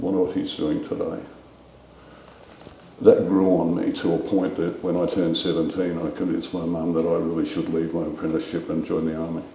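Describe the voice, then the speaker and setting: With an Australian accent, a man talks at a fairly quick pace amid noticeable background noise and audible room echo. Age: 70s. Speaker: war veteran. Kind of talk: interview.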